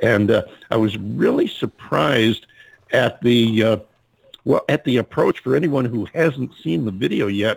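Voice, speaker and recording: There is vocal fry in this man's voice. His intonation is lively. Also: medium pitch for a man, fairly slow pace. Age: old. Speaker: radio show host. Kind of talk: casual chat.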